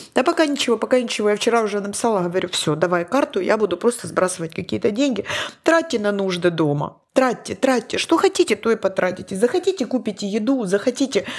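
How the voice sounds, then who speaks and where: Very fast and fairly high-pitched, a woman speaks with very wide pitch swings. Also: very even loudness. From Ukraine, Donetsk. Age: 50s. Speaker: podcast host. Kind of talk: casual chat.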